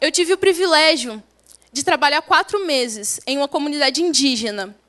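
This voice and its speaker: With lively intonation and a bright, sharp tone, a woman talks at a moderate pace in a high pitch. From Brazil, Espírito Santo countryside. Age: young. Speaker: young missionary. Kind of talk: testimony. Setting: church service.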